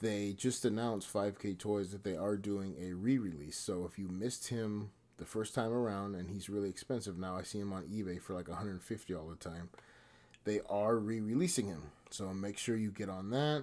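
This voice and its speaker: A soft-spoken man with a fairly low pitch and a dark, mellow tone talks at a moderate pace with ordinary pitch variation, on a very clean recording with a silent background. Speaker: toy collector and reviewer. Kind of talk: product review. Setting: at home at night. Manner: subdued.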